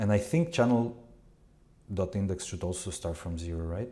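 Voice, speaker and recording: A man's fairly low, somewhat breathy voice at a moderate pace, with lively intonation. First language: not English. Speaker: live coding streamer, media developer. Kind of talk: live coding tutorial stream. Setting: live stream. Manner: halting, many fillers and restarts.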